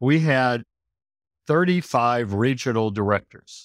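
With an American accent and lively intonation, the voice comes through dry and close with no echo on a very clean recording with a silent background. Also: man. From US Midwest. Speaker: restaurateur. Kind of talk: casual interview.

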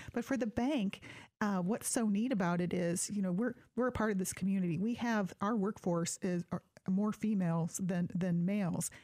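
At a moderate pace and very even loudness, a dark, mellow tone carries ordinary pitch variation over a very clean recording with a silent background. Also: woman, medium pitch for a woman. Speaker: bank employee and event emcee. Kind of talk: casual interview chat. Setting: studio.

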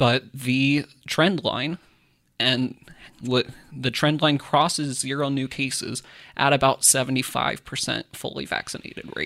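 This man talks fairly slowly at a medium pitch, with a US Midwestern accent and vocal fry. His tone is bright and sharp, and his intonation is flat and monotone. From Kansas (Iola). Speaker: political reporter and podcast co-host. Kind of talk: casual chat and news explainer.

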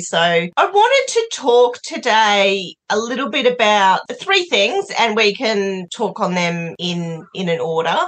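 With an Australian accent, a woman speaks at a fairly slow pace, her fairly high pitch making very wide swings. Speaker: podcast host. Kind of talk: casual interview chat.

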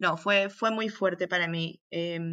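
Moderate pace and fairly even intonation from a woman at a medium pitch, over a quiet background. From Peru, Arequipa. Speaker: physician, humanitarian aid worker. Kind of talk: interview. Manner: halting, frequent repetitions.

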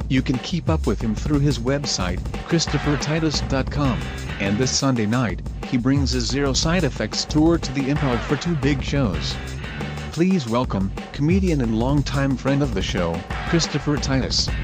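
A man does a robotic, put-on character voice at a fairly low pitch and a moderate pace. Sound effects and loud music play in the background.

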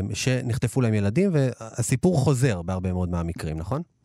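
On a very clean recording with a silent background, a man talks in a dark, mellow tone with lively intonation. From Israel, Ashdod. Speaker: radio host. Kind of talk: radio talk show. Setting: radio studio, also broadcast live on TV.

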